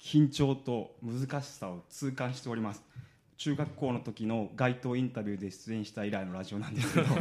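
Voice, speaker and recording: A man has an ordinary speaking voice, talking at a moderate pace with ordinary pitch variation. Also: medium pitch for a man. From Kumamoto, Japan. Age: 30s. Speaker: stage actor. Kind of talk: radio interview.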